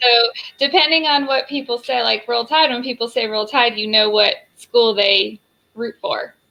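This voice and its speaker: With ordinary pitch variation, a woman speaks at a high pitch and a moderate pace. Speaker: chamber of commerce communications director. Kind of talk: interview.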